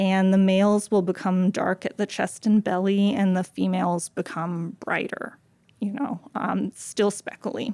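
A woman with an American accent and a dark, mellow tone talks at a fairly slow pace with fairly even intonation, on a very clean recording with a silent background. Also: medium pitch for a woman. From US South, South Carolina Low Country. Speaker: wildlife agency worker. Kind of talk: interview. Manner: halting, many fillers.

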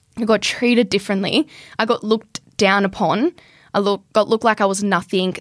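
A woman speaks at a fairly quick pace in an Australian accent. The recording is very clean, with a silent background. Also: dry, close sound with no echo. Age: young. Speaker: carpenter and builder. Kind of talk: casual interview.

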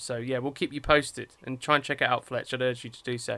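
This man has an English accent, a medium pitch and a bright, sharp tone, delivered in a monotone, flat way. The recording is very clean over a silent background. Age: 30s. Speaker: podcast co-host, film critic. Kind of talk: casual chat.

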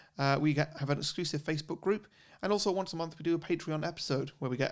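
This man talks at a very fast pace in an English accent. His pitch varies in an ordinary way. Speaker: podcast host. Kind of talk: casual chat. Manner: expressive.

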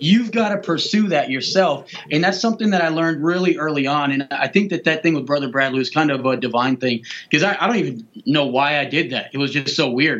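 Fairly quick and with lively intonation, a man has a normal speaking voice at fairly high pitch. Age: 30s. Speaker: youth pastor. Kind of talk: casual chat.

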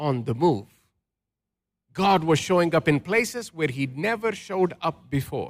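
Lively intonation in a very clean recording with a silent background. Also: man. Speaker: pastor. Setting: church. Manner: call-and-response.

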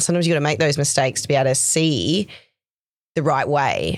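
A woman with an Australian accent talks fairly quickly at a very deep, low pitch with ordinary pitch variation. The recording is very clean, with a silent background. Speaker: nurse educator interviewing a student. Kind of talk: casual interview.

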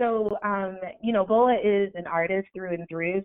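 A woman with an ordinary speaking voice talks at a moderate pace, her medium pitch moving with ordinary variation. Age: 20s. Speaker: life coach and author. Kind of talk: interview.

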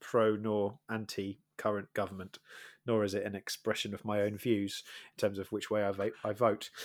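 A man's fairly low voice with a Welsh accent, at a moderate pace, on a very clean recording with a silent background. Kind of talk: casual chat.

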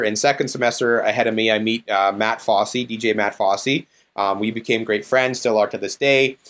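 The speaker has a Canadian prairie accent and fairly even intonation. The pace is moderate, with hardly any pauses. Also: man. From Saskatchewan, Canada. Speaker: DJ and business owner. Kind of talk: casual interview chat.

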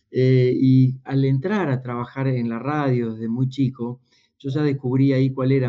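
A man with a Rioplatense accent and fairly even intonation. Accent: Argentine Spanish (rioplatense). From Argentina, small town in Buenos Aires province. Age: 50s. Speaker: executive coach and speaker. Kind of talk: interview conversation.

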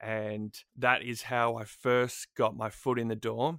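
In an Australian accent, a man speaks at a medium pitch in a flat monotone, on a very clean recording with a silent background. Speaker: radio producer and broadcaster. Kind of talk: casual interview chat. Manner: self-deprecating, mumbling.

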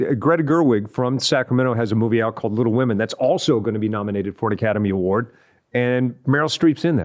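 With an American accent, the words come at a very fast pace. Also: man, medium pitch for a man, ordinary pitch variation. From West Texas (Odessa). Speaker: TV and radio entertainment personality. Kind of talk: casual interview chat. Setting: studio.

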